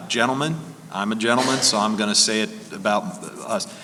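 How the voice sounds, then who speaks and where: Noticeable background noise and audible room echo surround a man at medium pitch. He talks at a moderate pace with lively intonation. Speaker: lawyer, panelist. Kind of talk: conference Q&A panel. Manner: calm. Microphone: far from the mic, moved closer.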